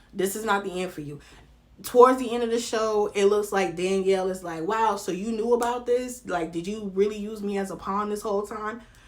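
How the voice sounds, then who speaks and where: An animated woman with a strong Southern US accent, fairly quick pace and big swings in loudness, in audible room echo. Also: medium pitch for a woman. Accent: heavy Southern US. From North Carolina. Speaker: reality TV commentary vlogger. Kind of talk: casual vlog commentary.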